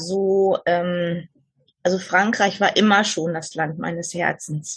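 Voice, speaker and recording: At a very slow pace, a woman speaks in a somewhat breathy voice with fairly even intonation. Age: 60s. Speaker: podcast guest sharing life story. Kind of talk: interview. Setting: remote call from southern France.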